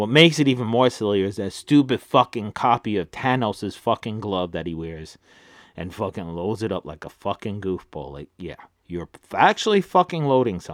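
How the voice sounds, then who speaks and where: A man with a fairly low pitch speaks at a moderate pace, his intonation lively and his loudness swinging widely. The sound is dry and close with no echo, in a very clean recording with a silent background. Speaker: wrestling podcast host. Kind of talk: angry rant about wrestling booking, opinionated commentary. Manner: loud, exasperated, emphatic, repeating phrases and swearing.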